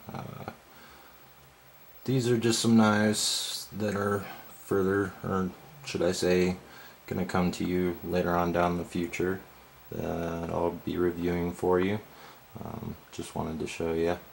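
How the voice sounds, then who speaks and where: With noticeable background noise behind him, a man with a very deep, low pitch talks fairly slowly and evenly, leaving long, frequent pauses. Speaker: knife reviewer. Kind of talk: casual talk to camera. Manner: hesitant, rambling.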